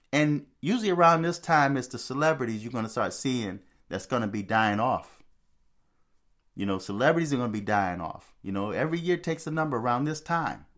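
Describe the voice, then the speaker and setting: A man with a normal speaking voice talks at a medium pitch and a fairly quick pace, with lively intonation. The recording is very clean, with a silent background. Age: 60s. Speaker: spirituality video host. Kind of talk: monologue commentary. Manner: repetitive, conversational.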